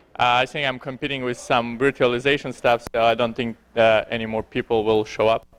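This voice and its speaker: Recorded very cleanly against a silent background, a man with a Belarusian accent comes through with a dry, close sound and no echo. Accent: foreign accent, Belarusian. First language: Belarusian or Russian. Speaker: security researcher, conference speaker. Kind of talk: conference talk. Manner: halting, many fillers.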